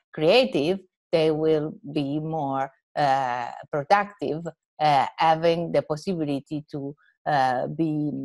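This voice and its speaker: A woman at a very slow pace, with a very deep, low pitch and ordinary pitch variation, over a quiet background. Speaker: university teacher. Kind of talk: interview answer. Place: home room. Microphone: earbuds.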